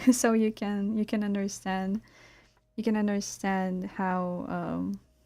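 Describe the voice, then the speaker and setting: Soft-spoken and in a Russian accent, a woman talks at a very slow pace with a dark, mellow tone, medium pitch and monotone, flat intonation. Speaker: illustrator streamer. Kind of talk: casual live-stream chat.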